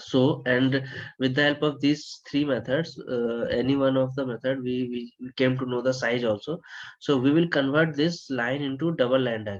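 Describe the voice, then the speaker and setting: Soft-spoken and medium-pitched, a man talks at a moderate pace with fairly even intonation. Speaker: HVAC design instructor. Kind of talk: lecture. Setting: online webinar.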